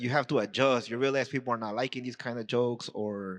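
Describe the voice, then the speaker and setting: A man's voice against a quiet background. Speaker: comedian. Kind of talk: casual chat. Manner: fast; halting.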